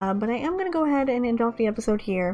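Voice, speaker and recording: This voice has a dark, mellow tone and an American accent. Its intonation is lively. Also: woman. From US South. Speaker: gaming YouTuber. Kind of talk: let's play commentary. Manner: casual, rambling.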